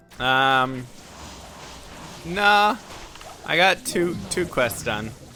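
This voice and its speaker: Very slow speech with long, frequent pauses and noticeable background noise. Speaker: video game streamer. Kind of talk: live stream chat.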